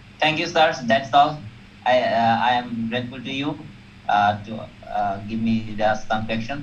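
A man at a medium pitch and a fairly slow pace, with ordinary pitch variation, audible room echo and noticeable background noise. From Bangladesh. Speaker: student asking questions. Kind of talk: live Q&A question. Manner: halting, many fillers.

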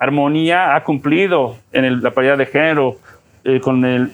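A man speaks at a fairly slow pace in an ordinary speaking voice. His pitch is fairly high, and his intonation stays fairly even. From Mexico (Cuernavaca) and United States. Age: 40s. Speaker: political candidate. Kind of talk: interview.

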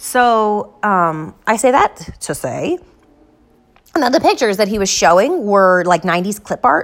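Using a normal speaking voice, a woman talks at a fairly slow pace with lively intonation and medium pitch. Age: 30s. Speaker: brain surgery survivor podcaster. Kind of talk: personal storytelling monologue. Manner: casual with many filler words.

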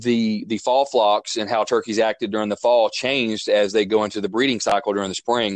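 A man with an ordinary speaking voice, medium pitch and a fairly quick pace, dry and close with no echo, against a quiet background. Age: 40s. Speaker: turkey calling champion and hunting guide. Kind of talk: casual interview.

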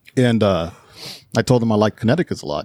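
A man with an American accent talks fairly quickly at a fairly low pitch, in a dry, close sound with no echo. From Los Angeles, California. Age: 30s. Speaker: cigar enthusiast. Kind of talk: interview. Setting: studio.

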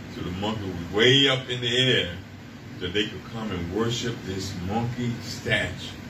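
Noticeable background noise sits behind a man speaking at a fairly slow pace. His pitch varies in an ordinary way. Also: medium pitch for a man. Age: 60s. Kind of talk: sermon. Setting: church camp meeting with congregation. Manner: animated.

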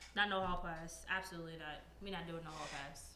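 Audible room echo surrounds a woman speaking with an American accent at a fairly low pitch. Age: 30s. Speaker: podcast guest. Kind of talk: casual chat.

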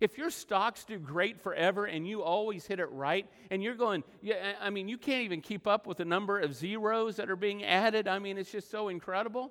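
Talking at a fairly quick pace with hardly any pauses, a man uses a high pitch with ordinary pitch variation. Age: 50s. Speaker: preacher. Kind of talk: sermon. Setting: church.

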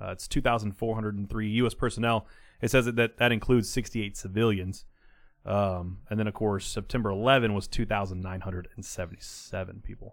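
A man's fairly low voice with an American accent, a plain, everyday voice, fairly even intonation, on a very clean recording with a silent background. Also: fairly quick pace. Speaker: podcast co-host. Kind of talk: casual chat.

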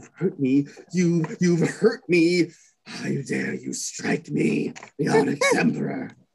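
A growling, put-on character voice moves at a fairly slow pace. Long, frequent pauses break up the speech. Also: man. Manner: pained, indignant, haughty.

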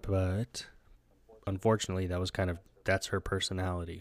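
A man speaks at a moderate pace in a very deep, low pitch, on a very clean recording with a silent background. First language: Spanish. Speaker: podcast co-host. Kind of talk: casual chat. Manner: sometimes loud when excited.

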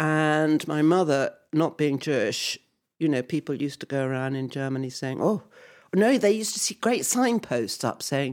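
At a moderate pace, a woman in a southern English accent speaks with very wide pitch swings on a very clean recording with a silent background. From England, Harpenden near London. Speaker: musician's mother. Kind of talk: casual chat. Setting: at home.

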